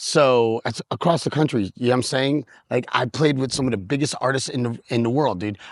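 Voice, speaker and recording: In an animated tone and with a New York accent, a man talks at a fairly quick pace and medium pitch against a quiet background. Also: dry, close sound with no echo. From US Northeast, New York City. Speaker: working DJ and YouTuber. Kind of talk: casual vlog rant.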